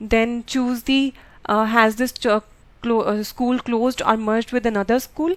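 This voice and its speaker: A woman with a fairly high voice speaks at a fairly slow pace, her loudness very even and her intonation fairly even, on a very clean recording with a silent background. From India (Punjab). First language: Punjabi. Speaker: nurse. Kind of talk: tutorial. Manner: halting, many fillers.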